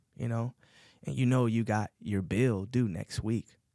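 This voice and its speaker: An unremarkable speaking voice talks at a moderate pace with ordinary pitch variation, in a very clean recording with a silent background. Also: man. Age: 30s. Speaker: estimator in commercial painting, formerly incarcerated. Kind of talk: interview. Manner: casual, many fillers.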